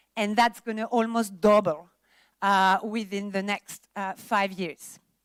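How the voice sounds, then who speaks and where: Fairly even in intonation, a woman's medium-pitched voice comes through with a dry, close sound and no echo. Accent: French. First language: French. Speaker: industry presenter at a film summit. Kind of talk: conference presentation.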